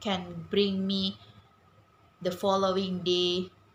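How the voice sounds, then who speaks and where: A somewhat breathy woman of medium pitch with a non-native accent. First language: not English. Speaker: English language student. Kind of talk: prepared speech. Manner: halting, many fillers.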